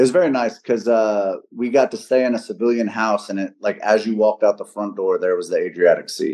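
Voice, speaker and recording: This man has an American accent. He talks at a fairly quick pace with hardly any pauses. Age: 40s. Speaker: retired Air Force military police. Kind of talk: casual podcast interview.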